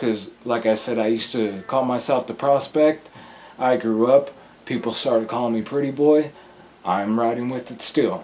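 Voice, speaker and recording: Noticeable background noise runs under this recording. A man talks with fairly even intonation. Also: medium pitch for a man, moderate pace. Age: 30s. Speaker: rapper. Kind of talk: interview.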